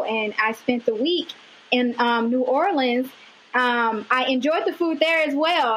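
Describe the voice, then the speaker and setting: With a Mississippi accent, a woman speaks at a high pitch. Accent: Southern US (Mississippi). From US South, Amory, Mississippi. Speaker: fashion designer. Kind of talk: interview.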